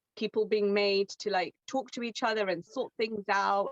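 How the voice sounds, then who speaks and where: The sound is dry and close, with no echo. A woman speaks at medium pitch and a moderate pace in an ordinary speaking voice. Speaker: crystal specialist, webinar co-host. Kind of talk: webinar presentation. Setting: online webinar.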